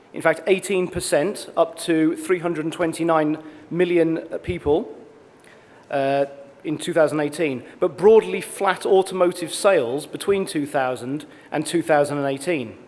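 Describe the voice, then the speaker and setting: A man's fairly high voice at a moderate pace with ordinary pitch variation, over noticeable background noise. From Britain and Australia. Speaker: industry consultant. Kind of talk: conference presentation. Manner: formal.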